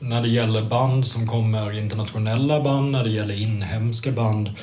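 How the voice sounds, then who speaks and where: A man speaks in a somewhat breathy voice. Audible room echo surrounds his words. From Sweden, Kalmar. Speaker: music journalist. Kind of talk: casual chat.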